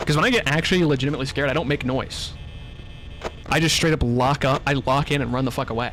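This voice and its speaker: A man with an American accent, fairly high in pitch, at a very fast pace amid noticeable background noise. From US Midwest. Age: 20s. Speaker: gaming streamer. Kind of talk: live gameplay commentary. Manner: not loud, reserved reactions.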